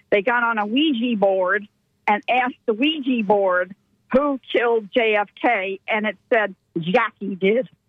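Speaking at a fairly slow pace, this is a plain, everyday voice with ordinary pitch variation. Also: woman, fairly high pitch for a woman. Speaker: radio caller. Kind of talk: call-in comment. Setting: phone call.

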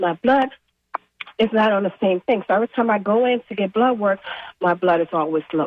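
With an ordinary speaking voice, a woman talks at a fairly quick pace and a medium pitch, with ordinary pitch variation. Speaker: caller. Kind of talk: call-in question on radio. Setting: phone call.

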